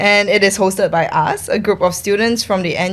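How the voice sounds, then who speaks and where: The speaker talks at a fairly quick pace with a Singaporean accent. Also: woman. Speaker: podcast co-host, student. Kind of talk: casual chat.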